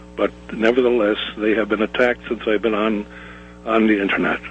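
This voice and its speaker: Noticeable background noise accompanies a man whose pitch is fairly low. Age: 70s. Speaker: caller, former police officer. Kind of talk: call-in commentary. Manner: halting, many hesitations.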